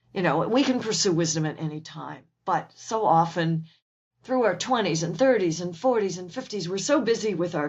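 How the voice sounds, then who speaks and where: A woman with a plain, everyday voice speaks at a medium pitch. Her pace is moderate and her intonation lively. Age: 60s. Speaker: author and naturalist. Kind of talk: interview conversation.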